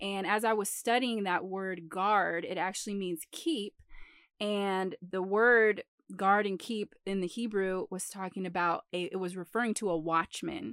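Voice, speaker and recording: A woman's ordinary speaking voice at medium pitch, with ordinary pitch variation and a fairly slow pace, in a dry, close sound with no echo on a very clean recording with a silent background. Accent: American. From Metro Detroit. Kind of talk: Bible teaching. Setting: late at night.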